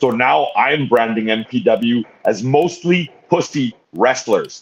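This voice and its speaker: A man speaks with a Canadian accent in an unremarkable speaking voice. His pitch is medium, with ordinary variation. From Canada. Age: 50s. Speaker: pro wrestler and wrestling promoter. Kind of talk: podcast interview answer.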